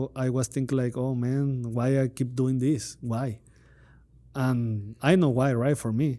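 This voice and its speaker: Delivered at a fairly slow pace, the voice has a dark, mellow tone and monotone, flat intonation. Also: man. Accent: Spanish. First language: Spanish. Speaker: podcast host. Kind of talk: interview. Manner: halting.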